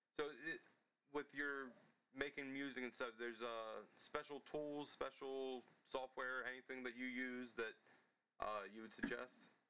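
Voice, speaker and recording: Using long, frequent pauses, a man with an American accent speaks at a fairly slow pace in a medium pitch, his bright, sharp tone held to a monotone, flat intonation. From Maryland. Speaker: podcast host. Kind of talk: interview.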